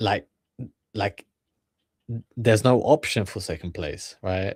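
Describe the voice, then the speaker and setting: Speaking very slowly with a British accent, the man has a fairly low pitch and ordinary pitch variation. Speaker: streamer reacting to videos. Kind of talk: reaction commentary, motivational talk. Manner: halting, many fillers and repetitions.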